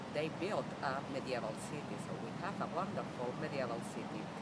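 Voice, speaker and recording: A woman's voice at a moderate pace, dry with no echo, over loud background noise. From Barcelona, Spain. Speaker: tour guide. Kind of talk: promotional self-introduction to camera. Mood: warm, friendly. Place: open country.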